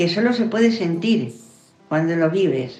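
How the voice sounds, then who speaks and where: A woman talks at a fairly slow pace at medium pitch with ordinary pitch variation, and audible room echo surrounds her voice. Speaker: grandmother. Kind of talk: testimony.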